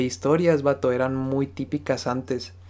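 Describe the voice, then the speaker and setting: An ordinary speaking voice from a man, fairly high in pitch, with ordinary pitch variation and a fairly slow pace. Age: 20s. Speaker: podcast co-host. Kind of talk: casual chat.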